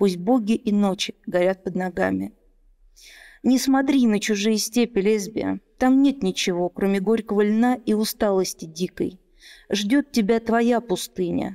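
With a medium pitch and a dark, mellow tone, a woman talks at a fairly slow pace with ordinary pitch variation and very even loudness over a quiet background. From Russia, Moscow. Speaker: poet and lawyer. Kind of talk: interview. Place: studio. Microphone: studio mic.

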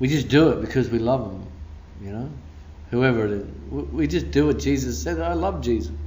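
A man with an Australian accent talks at a fairly quick pace and medium pitch, using very wide pitch swings. His tone is animated, with vocal fry. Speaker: pastor. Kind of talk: sermon. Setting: church. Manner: preacherly, rousing, call-and-response.

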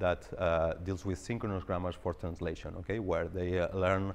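A man talks with a very deep, low pitch at a moderate pace. His intonation is fairly even. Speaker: presenter. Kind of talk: lecture. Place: hall.

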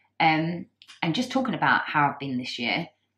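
A woman with a British accent at a moderate pace. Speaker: vlogger. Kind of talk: casual vlog talk. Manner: halting, many fillers.

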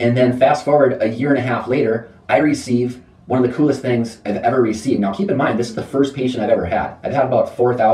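Ordinary pitch variation, plain reading aloud.

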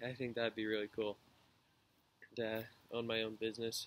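A man talks in an American accent. Light background noise sits behind him. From Washington state, near Tacoma; Washington state. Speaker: university student. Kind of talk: class introduction video. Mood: relaxed, friendly. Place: garden. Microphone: webcam.

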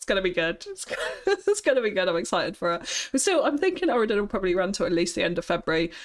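A woman at a fast pace, medium in pitch, with big pitch swings.

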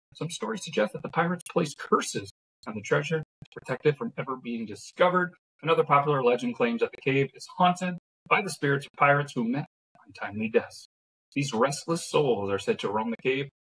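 Very fast and full of big loudness swings, a man talks with very wide pitch swings. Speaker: podcast co-host. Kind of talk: podcast reading and casual chat. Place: home room. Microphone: phone near.

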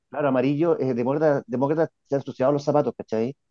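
Over a quiet background, a man rushes along very fast with a fairly high pitch. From Chile. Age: 50s. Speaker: journalist and show host; journalist, show host. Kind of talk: political interview. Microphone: earbuds.

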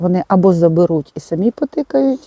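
A woman speaks at a moderate pace in a dark, mellow tone. The sound is dry and close, with no echo. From Ivano-Frankivsk, western Ukraine. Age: 60s. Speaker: blogger and digital mentor for seniors; retired mathematics teacher. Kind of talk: interview answer. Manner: casual, conversational.

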